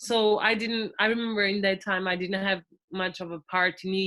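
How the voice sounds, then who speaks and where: Speaking at a moderate pace in a Portuguese accent, a woman keeps a medium pitch and fairly even intonation. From Portugal. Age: 20s. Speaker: podcast guest, former volunteer. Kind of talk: casual interview. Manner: halting.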